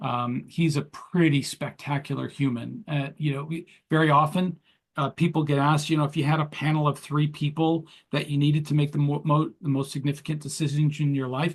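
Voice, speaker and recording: Somewhat breathy, a man talks at a fairly quick pace with fairly high pitch and monotone, flat intonation. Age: 60s. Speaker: entrepreneur and leadership coach. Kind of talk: interview.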